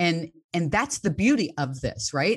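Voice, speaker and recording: A woman speaks in a normal speaking voice, her pitch fairly low and her intonation lively, over a quiet background. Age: 60s. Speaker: fitness coach. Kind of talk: casual chat.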